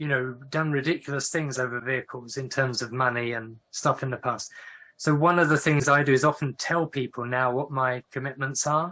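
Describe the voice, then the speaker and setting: A man with an English accent talks at a moderate pace in a medium-pitched, bright, sharp tone with fairly even intonation. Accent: English accent, noticeable. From northern England. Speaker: professor of Quaker studies. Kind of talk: online talk with Q&A. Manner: conversational, with fillers and restarts.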